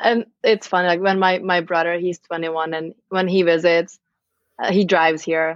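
A woman with a Czech accent speaks at a moderate pace in a fairly low pitch, her intonation monotone and flat. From Czech Republic, Pilsen. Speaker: immigrant guest. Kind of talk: casual chat.

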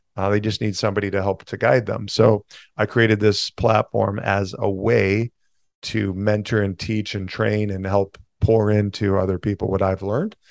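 A man speaks in a monotone, flat intonation at a moderate pace, with a quiet background. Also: fairly low pitch for a man, dry, close sound with no echo. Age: 40s. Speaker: entrepreneur and financial coach. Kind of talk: interview.

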